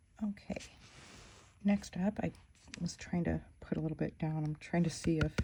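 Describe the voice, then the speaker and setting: A woman talks at a moderate pace with long, frequent pauses. Her voice is fairly low, with fairly even intonation. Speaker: fountain pen ink reviewer. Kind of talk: casual tutorial-style review. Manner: soft-spoken; halting. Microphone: quiet.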